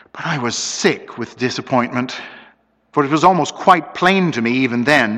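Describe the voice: The clip is plain reading aloud, and the background is quiet.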